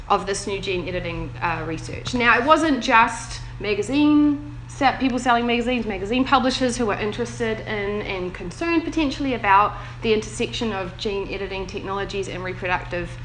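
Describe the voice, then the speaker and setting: Fairly quick speech with very wide pitch swings and hardly any pauses, over noticeable background noise and audible room echo. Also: woman, medium pitch for a woman. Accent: New Zealand. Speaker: bioethics researcher. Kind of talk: panel talk.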